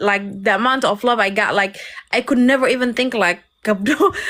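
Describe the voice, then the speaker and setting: High in pitch, a woman's voice shows ordinary pitch variation. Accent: Somali. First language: Somali. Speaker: live stream host. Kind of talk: casual chat.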